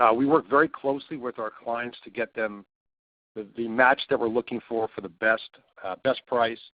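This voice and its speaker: Speaking at a moderate pace, a man at medium pitch has an ordinary speaking voice. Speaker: commercial real estate broker. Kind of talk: webinar presentation. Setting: online webinar.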